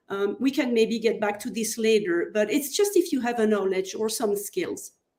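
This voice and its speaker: A woman with a Belgian French accent, fairly high in pitch, dark and mellow in tone, with lively intonation. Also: moderate pace. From Belgium, French-speaking. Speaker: online course consultant. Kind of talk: interview podcast.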